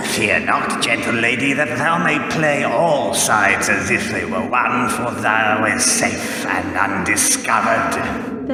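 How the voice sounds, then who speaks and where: A man in a put-on character voice at a fairly slow pace, with strong echo and loud background noise. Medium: audio drama. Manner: cryptic, archaic.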